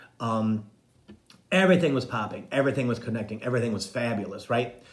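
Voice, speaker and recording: A man's voice with ordinary pitch variation, amid audible room echo and noticeable background noise. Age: 60s. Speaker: psychic medium and spiritual coach. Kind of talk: casual live-stream monologue.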